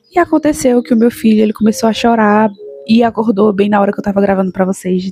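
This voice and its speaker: At a fairly quick pace, a woman speaks at a fairly high pitch with ordinary pitch variation. Her voice is somewhat breathy with a dark, mellow tone, dry and close with no echo. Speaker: YouTuber, mother giving daily reflections. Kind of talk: casual vlog talk to viewers. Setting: at home, recording at night.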